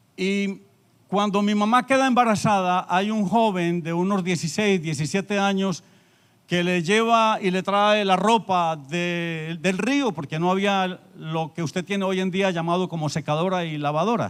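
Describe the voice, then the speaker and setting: Speaking at a fairly slow pace, this man has a high-pitched voice with ordinary pitch variation. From Colombia, Antioquia. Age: 60s. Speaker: pastor. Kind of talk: sermon. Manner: pausing for interpreter.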